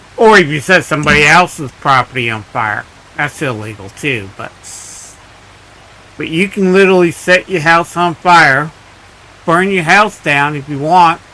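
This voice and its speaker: Over noticeable background noise, a man with a fairly high pitch talks at a moderate pace with lively intonation and long, frequent pauses. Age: 60s. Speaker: gaming live streamer. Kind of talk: casual live stream chat.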